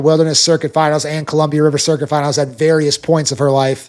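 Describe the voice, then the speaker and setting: In a very clean recording with a silent background, a man speaks at a fairly high pitch in a Minnesotan accent. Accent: Minnesota. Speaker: rodeo analyst. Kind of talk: sports preview commentary.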